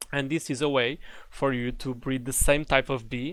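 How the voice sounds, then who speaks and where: A man with a non-native accent speaks at a moderate pace and a medium pitch. His intonation is fairly even, and the recording is very clean with a silent background. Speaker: Minecraft tutorial creator. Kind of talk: game tutorial narration. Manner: casual, hesitant.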